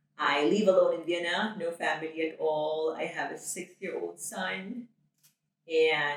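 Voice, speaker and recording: Speaking at a fairly slow pace, a woman with a fairly low pitch keeps her intonation fairly even while her loudness swings widely. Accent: Filipino. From Philippines. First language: Tagalog. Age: 30s. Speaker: nurse. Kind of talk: interview.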